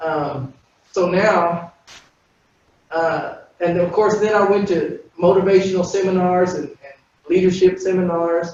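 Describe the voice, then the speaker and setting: A man's high, monotone, flat voice at a fairly slow pace, with long, frequent pauses, big swings in loudness and audible room echo. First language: Spanish. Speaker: panelist. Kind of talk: personal testimony.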